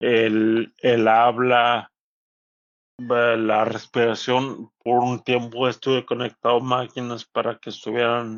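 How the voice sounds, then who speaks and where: In a medium pitch, a man speaks very slowly with monotone, flat intonation. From northern Mexico. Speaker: stroke survivor. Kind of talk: interview. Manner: uneven volume and pace.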